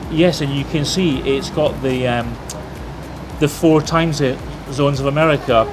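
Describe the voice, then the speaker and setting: A man with a fairly high voice at a moderate pace, fairly even intonation, and long, frequent pauses, over background music. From Scotland. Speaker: travel vlogger. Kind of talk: casual chat. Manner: halting.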